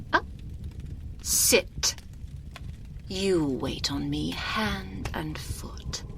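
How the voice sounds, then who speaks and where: A woman uses a put-on character voice at a very slow pace, with clear background noise behind her. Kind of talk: seductive ASMR roleplay. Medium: solo performance. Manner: languid, purring, condescending.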